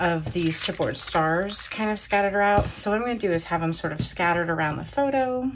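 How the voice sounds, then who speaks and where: Noticeable background noise accompanies words delivered at a very fast pace. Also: woman. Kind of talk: tutorial.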